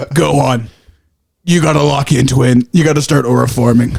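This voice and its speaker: Put-on character voice from a man, medium in pitch with ordinary variation and very even loudness. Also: moderate pace. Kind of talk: casual, laid back.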